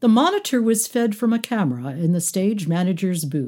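The voice is reading aloud plainly. Its intonation stays lively.

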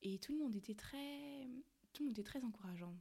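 Very fast and somewhat breathy, a woman speaks with lively intonation in a dark, mellow tone. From Cameroon. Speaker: podcast host. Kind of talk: casual monologue.

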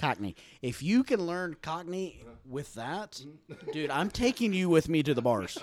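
In a very clean recording with a silent background, a man with a Texan accent speaks at a fairly slow pace. His fairly high voice sounds animated, its pitch swinging very widely. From Texas. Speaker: returning podcast guest. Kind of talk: casual chat.

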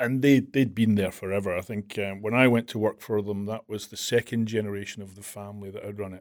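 A man's very fast, fairly low-pitched delivery in a Glasgow accent, with fairly even intonation, big swings in loudness and hardly any pauses. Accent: Scottish, Glasgow. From Glasgow, Scotland. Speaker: implementation and training manager in the rental industry. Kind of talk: casual interview chat.

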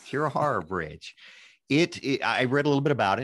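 A man speaks against a quiet background, and the sound is dry and close with no echo. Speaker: podcast host and engineer. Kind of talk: podcast interview.

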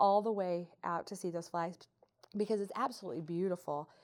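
A woman with an American accent has an unremarkable speaking voice at a medium pitch, with ordinary pitch variation. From southeast Missouri. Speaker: chamber of commerce president. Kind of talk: casual group conversation.

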